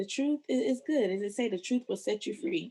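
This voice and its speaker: A woman's fairly high voice with a dark, mellow tone and vocal fry, at a moderate pace, in an American accent. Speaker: podcaster and blogger. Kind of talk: casual interview chat.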